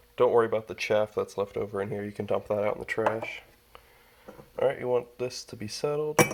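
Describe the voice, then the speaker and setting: Talking at a fairly quick pace, a man's loudness swings widely against noticeable background noise. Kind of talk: casual how-to talk to camera.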